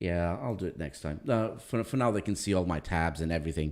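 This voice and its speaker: A man with a non-native accent speaks at a very deep, low pitch with ordinary variation. The recording is very clean, with a silent background. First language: not English. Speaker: livestream host. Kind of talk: casual chat. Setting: livestream.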